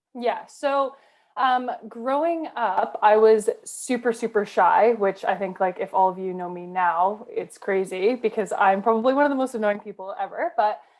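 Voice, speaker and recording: A woman with a Canadian accent speaks in a plain, everyday voice at a fairly high pitch, with lively intonation. Her pace is moderate and she hardly pauses. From Canada. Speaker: rugby player. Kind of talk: casual interview chat. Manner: chatty, many fillers.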